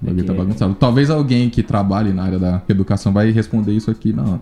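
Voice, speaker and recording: A man talks at a very fast pace with a fairly low pitch. Music plays in the background. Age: 20s. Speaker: biologist and company CEO. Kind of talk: casual chat.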